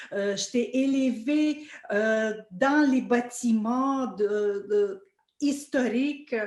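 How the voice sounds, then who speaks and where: Very slow and very even in loudness, a woman talks in a high pitch. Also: ordinary pitch variation. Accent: Russian. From Russia, Saint Petersburg. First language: Russian (speaking French). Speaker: orchestra violinist. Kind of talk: interview conversation. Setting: video call. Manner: halting, many fillers.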